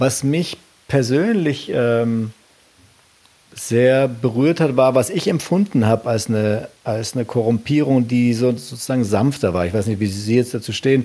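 With noticeable background noise behind him, a man of medium pitch speaks at a fairly slow pace with ordinary pitch variation. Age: 50s. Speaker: podcast host. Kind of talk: interview. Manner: halting.

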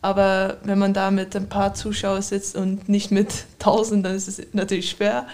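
A woman with a Dutch accent, medium in pitch, monotone and flat, at a fairly slow pace. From Netherlands. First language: Dutch (speaking German). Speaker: professional handball player. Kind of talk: interview.

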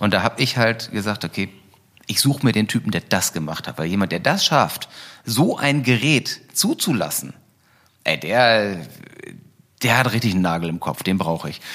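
A man at medium pitch with lively intonation, a moderate pace and long, frequent pauses, in a very clean recording with a silent background. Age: 40s. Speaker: e-scooter company founder. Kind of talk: interview. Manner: hesitant, many fillers.

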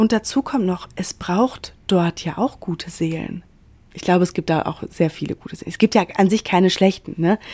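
On a very clean recording with a silent background and a dry, close sound with no echo, a woman with a dark, mellow tone speaks at a medium pitch and a moderate pace, with ordinary pitch variation and big swings in loudness. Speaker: podcast host, self-development coach. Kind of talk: solo podcast monologue. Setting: hotel room in quarantine.

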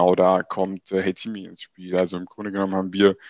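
A man's fairly low voice keeps to a middling speed. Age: 20s. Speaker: startup founder. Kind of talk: interview.

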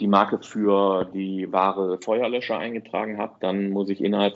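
Very slowly, a man with a fairly low voice talks in monotone, flat intonation. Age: 40s. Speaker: online marketing entrepreneur, deals portal founder. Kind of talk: podcast interview. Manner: hesitant, many fillers.

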